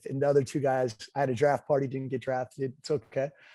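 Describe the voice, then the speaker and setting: At a fairly quick pace, a man with an American accent speaks at a fairly high pitch in a dry, close sound with no echo. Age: 40s. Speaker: entrepreneur and former baseball player. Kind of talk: interview. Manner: halting.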